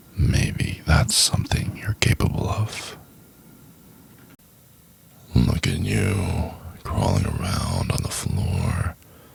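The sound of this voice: Using a put-on character voice at an extremely low pitch, a man speaks slowly with long, frequent pauses, lively intonation, vocal fry and a husky, rough edge.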